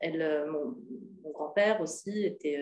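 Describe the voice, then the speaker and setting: A woman with very deep, low pitch and lively intonation. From France, Hautes-Alpes. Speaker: novelist. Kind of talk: literary talk. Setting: hotel event with audience.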